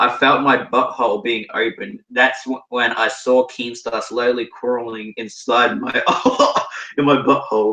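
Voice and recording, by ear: Someone reads aloud in a natural voice.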